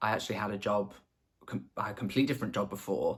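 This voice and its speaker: In a slight Scouse accent, a man speaks with ordinary pitch variation on a very clean recording with a silent background. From northwest England, the Wirral near Liverpool. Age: 20s. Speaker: makeup artist. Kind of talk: casual get-to-know-me vlog.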